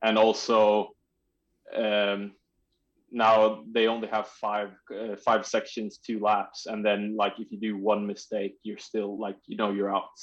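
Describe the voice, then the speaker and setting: Against a quiet background, a man with a Swedish accent speaks at a fairly slow pace. His fairly low pitch carries a monotone, flat intonation. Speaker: trials bike rider. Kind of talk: podcast interview. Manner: halting, searching for words.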